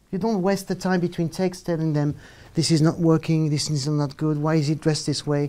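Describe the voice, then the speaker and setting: The speaker talks at a moderate pace with a French accent, and the recording is very clean with a silent background. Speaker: film director. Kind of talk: panel discussion. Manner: halting.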